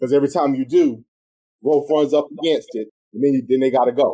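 The speaker has a South Carolina accent and a dark, mellow tone, talking at a fairly quick pace. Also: man. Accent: US Southern, South Carolina. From South Carolina, tobacco country. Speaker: radio show host and real estate broker. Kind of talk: radio talk show interview. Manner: animated.

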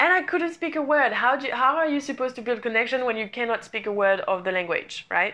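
A woman speaks with a non-native accent at a moderate pace, her tone bright and sharp. She sounds animated, with very wide pitch swings. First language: not English. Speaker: podcast host, coach. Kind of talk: solo podcast monologue. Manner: animated, motivational.

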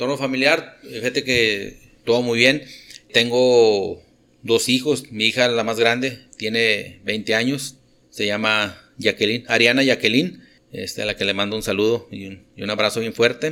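Medium pitch and a bright, sharp tone from a man with a northern Mexican accent, at a fairly slow pace with fairly even intonation. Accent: northern Mexican (regio) Spanish. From Monterrey, northern Mexico. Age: 40s. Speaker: industrial operations manager. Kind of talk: casual chat. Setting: cantina.

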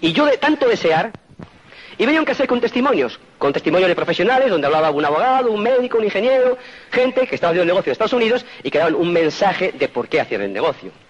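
Over noticeable background noise, a man with a Spanish accent speaks very fast at a high pitch, his pitch swinging very widely while his loudness stays very even. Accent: Peninsular Spanish. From Spain. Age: 50s. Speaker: motivational speaker. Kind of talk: motivational talk.

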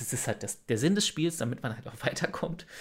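There are very wide pitch swings in this man's fairly high voice. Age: 30s. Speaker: streamer. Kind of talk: casual chat. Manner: halting, many repetitions.

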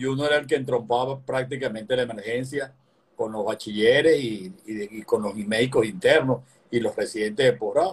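Somewhat breathy speech from a man at a moderate pace with ordinary pitch variation. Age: 60s. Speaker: physician and opposition politician. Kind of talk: political interview conversation.

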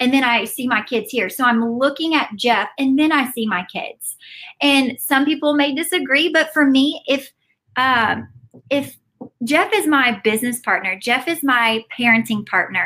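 Raising and projecting her voice, a woman speaks at a moderate pace in a high pitch with a bright, sharp tone. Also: lively intonation. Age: 20s. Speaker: entrepreneur and mother. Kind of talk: casual chat. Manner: animated.

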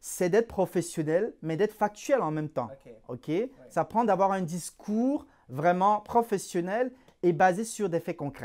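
A man with a high pitch talks fairly slowly, his intonation lively. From Cameroon. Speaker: employment coach and recruiter. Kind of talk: interview. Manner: halting, repeats words.

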